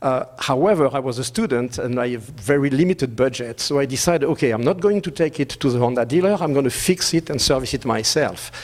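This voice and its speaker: Talking at a very fast pace with a French accent, a man with a fairly high pitch uses ordinary pitch variation over noticeable background noise. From France. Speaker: business executive. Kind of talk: conference presentation.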